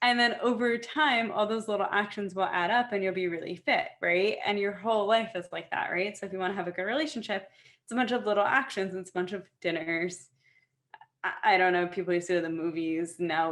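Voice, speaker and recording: An unremarkable speaking voice goes at a fairly quick pace with ordinary pitch variation. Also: woman. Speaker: fashion show founder. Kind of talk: casual interview.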